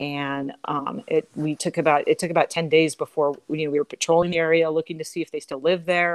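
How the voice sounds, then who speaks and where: Hardly pausing, a woman with an American accent speaks at a fairly quick pace in a normal speaking voice with a fairly low pitch. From Southern California. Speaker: animal protection officer. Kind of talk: casual interview.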